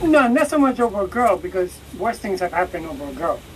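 A woman talks while noticeable background noise fills the recording. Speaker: podcast co-host. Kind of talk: casual chat. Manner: blunt, reactive, casual.

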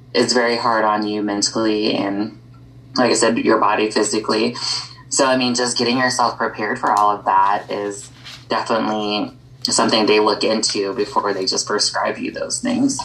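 The speech moves at a moderate pace in a flat, monotone delivery, with noticeable background noise behind it. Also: woman, very deep, low pitch for a woman. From US Midwest. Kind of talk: casual chat.

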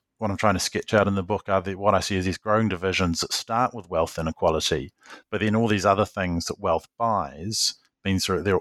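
A man's fairly low voice with a New Zealand accent, fairly even intonation, and a dry, close sound with no echo. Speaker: journalist and author. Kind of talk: interview.

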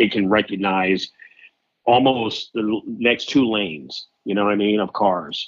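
A plain, everyday voice from a man, fairly low-pitched, at a moderate pace. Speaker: car dealership general manager. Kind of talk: casual chat. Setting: phone call.

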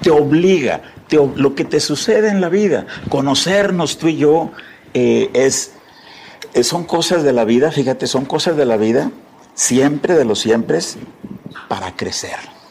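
A man's fairly high voice at a moderate pace, lively in intonation, with long, frequent pauses over noticeable background noise. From Tamaulipas, northern Mexico. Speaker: entrepreneur and philanthropist. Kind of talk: interview.

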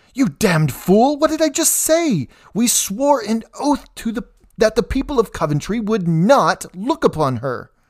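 In a put-on character voice, a man speaks at a moderate pace with a high pitch and a hissing sound. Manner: hissing, scolding.

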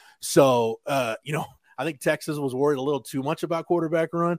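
His speech comes very fast. It is a man, heard dry and close with no echo at all. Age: 40s. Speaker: college football reporter. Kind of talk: casual chat. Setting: video call.

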